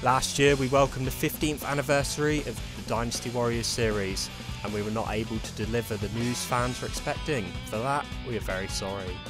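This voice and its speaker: Over music in the background, the speaker moves at a fairly quick pace with ordinary pitch variation. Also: man, medium pitch for a man. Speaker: gaming YouTuber. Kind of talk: scripted video essay.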